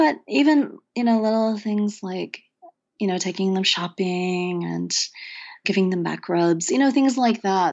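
A woman with an American accent has an unremarkable speaking voice at a medium pitch. Her intonation is lively and her pace fairly slow. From rural Oklahoma, US. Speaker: poet and professor. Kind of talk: interview conversation. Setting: studio.

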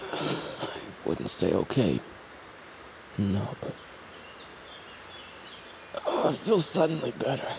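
A put-on character voice with vocal fry and a slightly mellow tone, slow and full of long, frequent pauses, with big pitch swings over faint background noise. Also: man, medium pitch for a man.

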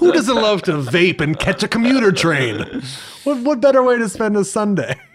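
A man with a high pitch speaks at a moderate pace, his pitch swinging very widely. Noticeable background noise is present. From New Jersey. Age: 30s. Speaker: stage actor and singer. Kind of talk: casual chat.

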